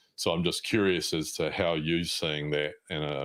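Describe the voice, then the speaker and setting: A man speaks with a New Zealand accent. His pace is fairly slow. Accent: New Zealand, mistaken for Australian. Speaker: podcast host. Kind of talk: podcast interview.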